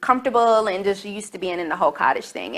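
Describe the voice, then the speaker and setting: Here a woman has an unremarkable speaking voice with a medium pitch. Her pitch varies in an ordinary way. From US South, Charlotte, North Carolina. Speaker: talk show host. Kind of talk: casual monologue to camera.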